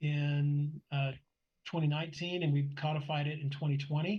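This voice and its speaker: A man speaks in an unremarkable speaking voice. His pitch sits fairly high. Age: 60s. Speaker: motorsport club director. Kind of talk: interview conversation.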